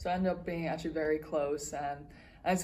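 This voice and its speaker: In a room with audible echo, a woman talks at a fairly quick pace with a dark, mellow tone and very deep, low pitch. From Dublin, Ireland. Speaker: college tennis player. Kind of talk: interview. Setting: tennis tournament campus.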